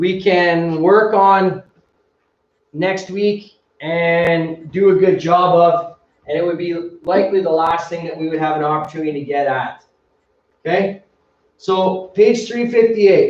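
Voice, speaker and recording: Loud and high-pitched, a man speaks with fairly even intonation and long, frequent pauses. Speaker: high school teacher. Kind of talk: lecture.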